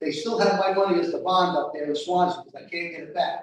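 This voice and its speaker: A man speaks in a high voice. His pace is fairly quick. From Rhode Island. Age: 60s. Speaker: resident speaking at public hearing. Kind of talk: public comment at town board hearing. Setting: town hall meeting with microphone.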